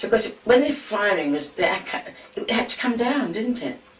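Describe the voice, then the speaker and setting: Noticeable background noise surrounds a woman speaking fairly quickly. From London, England. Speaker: war eyewitness. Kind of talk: oral history reminiscence.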